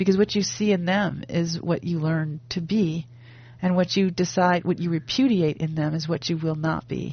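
A woman speaks at a moderate pace in a somewhat breathy voice, with ordinary pitch variation. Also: fairly low pitch for a woman. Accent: American. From US Midwest (Wisconsin). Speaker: fiction writer and professor. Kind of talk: interview.

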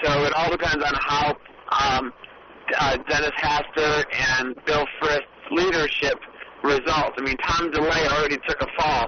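Noticeable background noise runs under a man's fairly high-pitched voice. He speaks at a fairly slow pace with very even loudness. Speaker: political activist. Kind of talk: interview about politics. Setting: phone call from a car.

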